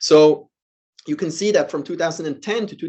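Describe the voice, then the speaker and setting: In a Swiss accent, a man speaks with a high pitch. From Switzerland. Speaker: professor. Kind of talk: lecture.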